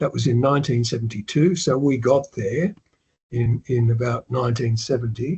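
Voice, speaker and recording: A man with an Australian accent speaks at a medium pitch with ordinary pitch variation. His voice is somewhat breathy and very even in loudness. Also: moderate pace. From Australia, Melbourne. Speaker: retired investor and author. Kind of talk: interview. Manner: casual, hesitant.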